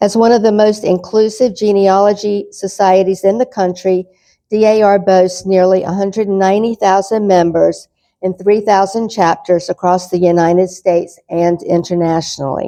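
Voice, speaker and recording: A woman talks at a moderate pace in a dark, mellow tone with monotone, flat intonation. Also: medium pitch for a woman. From North Carolina. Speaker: lecturer. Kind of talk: lecture.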